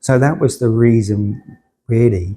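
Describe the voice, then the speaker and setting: On a very clean recording with a silent background, a man speaks in a dark, mellow, somewhat breathy tone. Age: 60s. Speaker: cancer patient. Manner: halting, repeats words.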